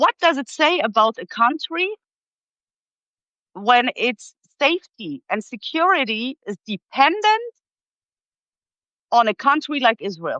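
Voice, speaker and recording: A woman speaks with a German accent in a high voice, her pitch swinging very widely, at a fairly slow pace with long, frequent pauses. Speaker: political commentator. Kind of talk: live interview discussion. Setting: live video stream. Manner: hesitant, many fillers and restarts.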